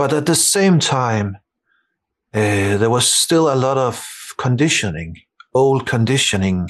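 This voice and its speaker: A man speaks with a Danish accent. His pace is fairly slow. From Denmark. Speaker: meditation teacher. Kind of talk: casual chat. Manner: halting.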